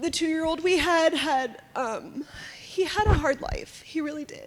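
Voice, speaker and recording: A woman's extremely high voice at a moderate pace, with very wide pitch swings and noticeable background noise. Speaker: foster parent. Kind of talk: testimony.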